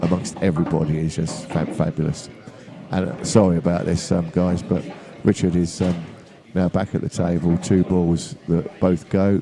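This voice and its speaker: A man speaks with a very deep, low pitch at a fairly slow pace. Noticeable background noise runs beneath him. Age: 70s. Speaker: guest pool commentator, amateur player. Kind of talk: live commentary and chat. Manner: halting, many fillers.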